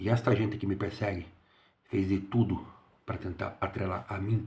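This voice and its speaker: A man speaks quietly in a fairly low, somewhat breathy voice. His intonation is fairly even and his pace moderate. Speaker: engineer and security consultant. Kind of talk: casual monologue. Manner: quiet, speaking low.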